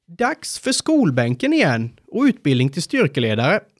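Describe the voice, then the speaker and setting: A fairly high-pitched man speaks at a moderate pace with very wide pitch swings. The sound is dry and close with no echo, in a very clean recording with a silent background. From Sweden, Småland (Sävsjö). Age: 30s. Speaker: firefighter and incident commander. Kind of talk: scripted narration.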